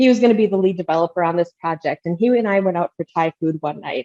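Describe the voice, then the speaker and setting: A woman's fairly low voice with an American accent, fairly quick in pace, in a dry, close sound with no echo. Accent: Midwestern, comes out at times. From Minnesota. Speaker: marketing strategist. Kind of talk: podcast interview. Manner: casual, many filler words.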